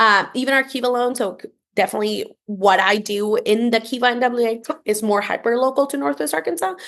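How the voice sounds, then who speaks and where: A woman talks at a fairly quick pace with lively intonation and a Spanish accent. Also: quiet background. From Costa Rica. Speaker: entrepreneurship program leader. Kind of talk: podcast interview.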